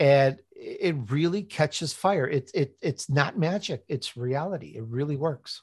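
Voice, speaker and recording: A man with an American accent and a fairly high pitch, somewhat breathy, at a fairly slow pace with hardly any pauses and ordinary pitch variation, in a dry, close sound with no echo over a quiet background. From Chicago, US Midwest. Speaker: author and podcast host. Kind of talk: interview.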